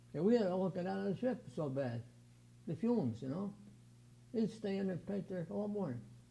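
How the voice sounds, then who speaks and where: Talking at a fairly quick pace with long, frequent pauses, a man has an American accent. His high-pitched voice has a dark, mellow tone and very wide pitch swings. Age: 80s+. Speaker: aircraft restoration volunteer. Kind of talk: interview.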